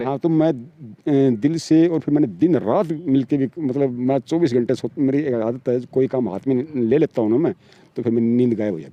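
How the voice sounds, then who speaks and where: A man at a medium pitch and moderate pace, an unremarkable speaking voice, ordinary pitch variation, hardly any pauses, and big swings in loudness. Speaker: sculptor and artist. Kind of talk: interview answer.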